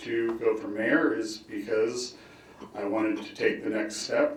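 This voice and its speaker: With a Midwestern US accent, a man talks at a fairly slow pace amid noticeable background noise and audible room echo. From Hastings, Nebraska. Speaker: mayoral candidate, city council member. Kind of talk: candidate forum opening statement.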